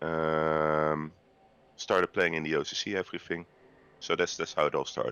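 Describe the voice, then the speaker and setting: Long, frequent pauses break up this man's speech. He has a Dutch accent. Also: moderate pace. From Netherlands, The Hague. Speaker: video game player guest. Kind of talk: casual podcast chat. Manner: halting, many fillers.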